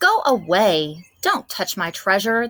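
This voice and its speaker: A woman puts on a growling character voice at a medium pitch. She moves at a fairly slow pace with ordinary pitch variation. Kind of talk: gruff. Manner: growling, snappish.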